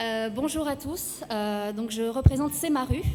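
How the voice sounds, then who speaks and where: Her pitch is high. This woman's voice shows ordinary pitch variation. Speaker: start-up founder. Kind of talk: sales pitch. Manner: halting, many fillers.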